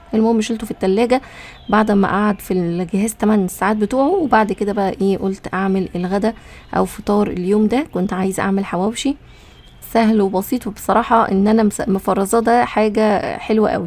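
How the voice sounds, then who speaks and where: At a moderate pace, a woman with a medium-pitched voice and an Egyptian accent talks with ordinary pitch variation. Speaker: cooking vlogger. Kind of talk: casual cooking vlog narration. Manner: chatty.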